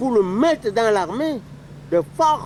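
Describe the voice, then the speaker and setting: A man with a high pitch speaks with very wide pitch swings. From Cameroon. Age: 70s. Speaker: war veteran. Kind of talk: interview. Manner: halting.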